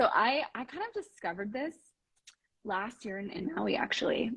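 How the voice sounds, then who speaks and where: A woman's somewhat breathy voice. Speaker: relationship coach. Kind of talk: interview conversation. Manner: fast.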